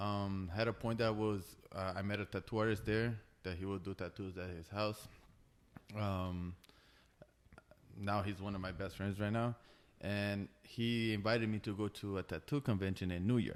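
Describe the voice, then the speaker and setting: Pausing long and often, a man speaks at a moderate pace with a fairly low pitch and fairly even intonation. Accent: Brazilian. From Brazil. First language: Portuguese. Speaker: tattoo artist. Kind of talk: casual chat. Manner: halting.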